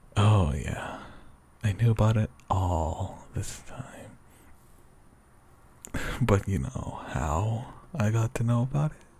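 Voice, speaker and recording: A soft-spoken man with a fairly low pitch, lively intonation and a very slow pace, long, frequent pauses, and noticeable background noise. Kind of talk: ASMR roleplay. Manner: sleepy.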